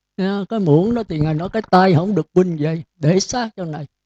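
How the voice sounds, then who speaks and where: A man speaks with a dark, mellow tone at a high pitch. The sound is dry and close, with no echo. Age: 70s. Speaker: Buddhist monk teacher. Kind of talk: dharma talk. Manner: scolding.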